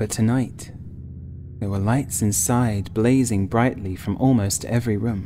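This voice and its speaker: Using a plain, everyday voice, a man speaks at a fairly slow pace, fairly low in pitch and with fairly even intonation. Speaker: writer and narrator. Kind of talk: gothic horror audiobook reading.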